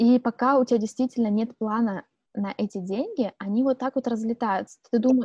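A woman speaks at a moderate pace in a fairly high voice with a dark, mellow tone. Her intonation stays fairly even, and the sound is dry and close with no echo. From Siberia, Irkutsk region, Russia. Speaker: podcast co-host. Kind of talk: casual chat.

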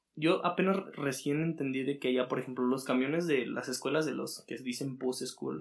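In an ordinary speaking voice, the speaker goes at a fairly slow pace with ordinary pitch variation. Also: man. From Mexico, Aguascalientes. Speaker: cook. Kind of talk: casual chat. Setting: in person, same room.

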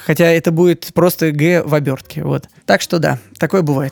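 Here a man speaks at a moderate pace in an unremarkable speaking voice. His pitch is fairly high and his intonation fairly even. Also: dry, close sound with no echo. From Moscow, Russia. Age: 30s. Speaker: video editor. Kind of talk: interview.

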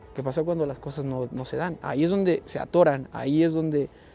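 A man speaks in a fairly high pitch with a dark, mellow tone. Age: 30s. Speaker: football coach. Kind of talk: interview.

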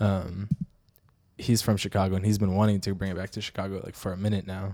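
A very fast, flat monotone in a dark, mellow tone with an American accent, on a very clean recording with a silent background. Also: man. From Ukraine. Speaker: guest. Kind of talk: casual chat.

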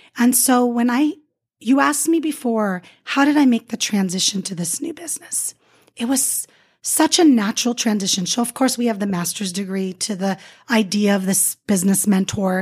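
A woman's somewhat breathy, fairly high voice with lively intonation at a moderate pace. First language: not English. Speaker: motivational speaker and author. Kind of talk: interview.

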